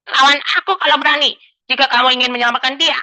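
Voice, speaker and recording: In a put-on character voice, a female-sounding speaker rattles along at a very fast pace and high pitch. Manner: challenging, menacing.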